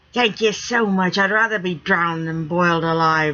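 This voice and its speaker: At a moderate speed, someone talks in a put-on character voice. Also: woman, fairly low pitch for a woman. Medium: read story. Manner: rough, excitable.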